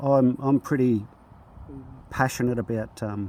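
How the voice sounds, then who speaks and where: With an Australian accent, a man speaks at a moderate pace, his medium-pitched voice dark and mellow and his intonation fairly even. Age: 60s. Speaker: bricklayer. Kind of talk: casual talk to camera. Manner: hesitant, many fillers.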